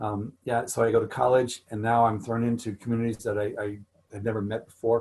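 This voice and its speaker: Somewhat breathy and medium in pitch, a man speaks at a fairly quick pace with monotone, flat intonation. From Missouri, US Midwest. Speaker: author. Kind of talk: Q&A talk. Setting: video call.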